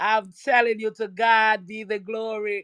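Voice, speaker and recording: In a Caribbean accent, a woman talks at a fairly slow pace with a fairly high pitch and an animated tone. The sound is dry and close with no echo, in a very clean recording with a silent background. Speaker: church woman. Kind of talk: testimony.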